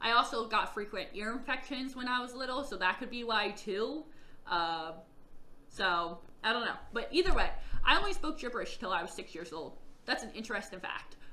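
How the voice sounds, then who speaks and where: A woman talks at a fairly quick pace in a fairly high, bright, sharp voice, with very wide pitch swings, big shifts in loudness and audible room echo. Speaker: vlogger telling own life story. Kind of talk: personal testimony vlog.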